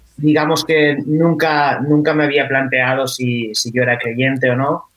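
The intonation here stays fairly even. Delivery moves at a fairly slow pace. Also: man. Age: 20s. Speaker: copywriter and stand-up comedian. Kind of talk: round-table discussion. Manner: halting, many repetitions.

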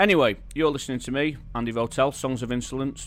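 With a Manchester accent, a man speaks at a fairly quick pace in a fairly high voice. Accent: northern English, Manchester area. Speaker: radio DJ presenting a monthly music show. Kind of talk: radio DJ patter between tracks, rhyming intros and music trivia. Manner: warm, enthusiastic, with alliteration and rhyme.

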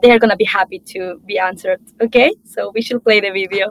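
A woman uses a normal speaking voice at a moderate pace, her pitch varying in an ordinary way. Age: young. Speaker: climate activist and panel moderator. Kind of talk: panel moderation.

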